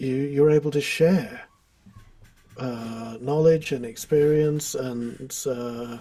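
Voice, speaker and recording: This is a man speaking. He has a British accent. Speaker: guitar teacher. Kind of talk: casual chat. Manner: hesitant, filler-heavy.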